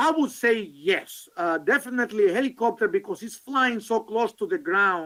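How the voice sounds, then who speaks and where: Raising and projecting his voice, a man with a high pitch and a bright, sharp tone moves through very wide pitch swings at a moderate pace. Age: 60s. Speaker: session moderator presenting on behalf of the author. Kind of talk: Q&A discussion at a conference session. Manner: halting, many fillers.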